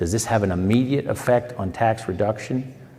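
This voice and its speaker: A man with an American accent and ordinary pitch variation, amid noticeable background noise and audible room echo. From Pennsylvania. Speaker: state legislator. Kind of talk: town hall Q&A answer. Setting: town hall meeting.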